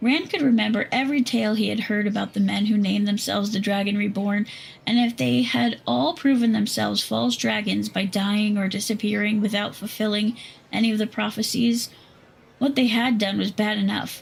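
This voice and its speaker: A woman's put-on character voice, raspy and medium in pitch, with ordinary pitch variation and a fairly quick pace. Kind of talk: fantasy audiobook reading. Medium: read story.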